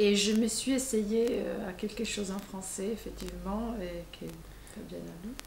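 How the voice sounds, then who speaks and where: A woman talks at a fairly slow pace with big swings in loudness. Audible room echo and noticeable background noise are present. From Italy. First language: Italian (speaking French). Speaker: novelist. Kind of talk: interview. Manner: halting.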